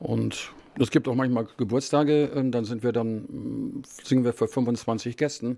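Here a man speaks at medium pitch in a dark, mellow tone. His intonation stays fairly even. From northern Germany, Bremen. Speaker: choir chairman. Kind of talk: interview.

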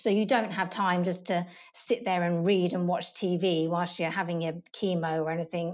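With a southern English accent, a woman speaks at a fairly low pitch. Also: fairly even intonation, moderate pace. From southern England. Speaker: property operations coordinator. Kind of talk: interview.

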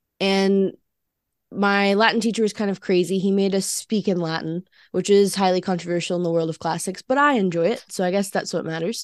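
Against a quiet background, a woman in an Alabama accent talks at a fairly quick pace with fairly even intonation. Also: medium pitch for a woman. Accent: Southern US (Alabama). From US South, Alabama. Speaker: university student, co-host. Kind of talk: casual chat.

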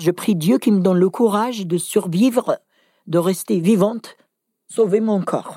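Speaking at a medium pitch with ordinary pitch variation, a woman has a dark, mellow tone, captured in a very clean recording with a silent background and a dry, close sound with no echo. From Algeria, Kabylie. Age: 60s. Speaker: domestic violence survivor. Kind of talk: testimony. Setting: at her home. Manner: halting.

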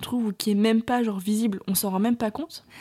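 Her tone dark and mellow, a woman speaks at a fairly high pitch and a fairly quick pace. The sound is dry and close, with no echo. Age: 20s. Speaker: podcast host, entrepreneur. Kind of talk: solo monologue podcast. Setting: at her parents' home. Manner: casual, filler-heavy.

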